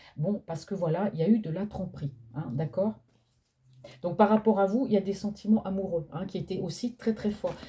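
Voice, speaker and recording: A woman speaks in a dark, mellow tone. Her loudness swings widely. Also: medium pitch for a woman, ordinary pitch variation, moderate pace. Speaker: tarot card reader. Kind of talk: psychic reading. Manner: soft-spoken; speaking louder than usual. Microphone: no microphone.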